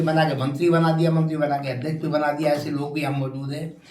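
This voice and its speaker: Noticeable background noise plus audible room echo. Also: man. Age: 80s+. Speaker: retired army officer and former legislator. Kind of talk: interview.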